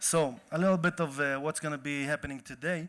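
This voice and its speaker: Recorded very cleanly over a silent background, a man with an Israeli accent talks at a moderate pace in a fairly high pitch, his intonation fairly even. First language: Hebrew. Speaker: event organizer and activist. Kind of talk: opening speech at a panel event. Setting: stage with audience.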